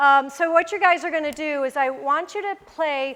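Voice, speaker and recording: A woman with lively intonation at a fairly slow pace. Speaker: yoga teacher trainer. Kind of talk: workshop instruction. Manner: casual, filler-heavy; loud.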